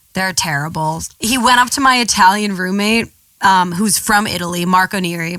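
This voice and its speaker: The speaker has a New York accent and ordinary pitch variation. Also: woman. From US Northeast, New York City. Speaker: model. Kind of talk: casual chat. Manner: animated.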